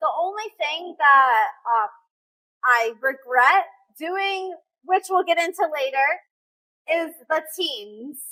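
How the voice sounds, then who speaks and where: Raising and projecting her voice, a woman with an American accent speaks at a very slow pace with long, frequent pauses, her pitch extremely high, her intonation lively and her tone bright and sharp. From US, child of Russian-Uzbek immigrants. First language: Russian. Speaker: fitness influencer and game show contestant. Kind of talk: casual interview.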